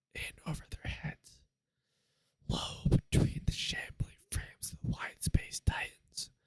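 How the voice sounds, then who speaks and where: Whispering at a very slow pace. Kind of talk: ASMR audiobook reading. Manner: whispered.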